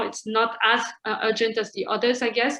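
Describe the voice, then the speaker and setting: Her voice carries a fairly high pitch. This woman talks with a non-native accent. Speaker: human rights advocacy director. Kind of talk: presentation. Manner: fast.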